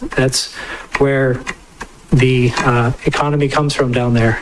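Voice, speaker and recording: The man keeps a monotone, flat intonation at a moderate pace, with noticeable background noise behind him. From Hawaii, Maui. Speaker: vacation rental business owner testifying. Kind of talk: public testimony. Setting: public hearing.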